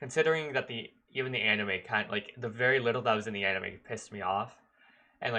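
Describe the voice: Lively intonation colors this plain reading aloud.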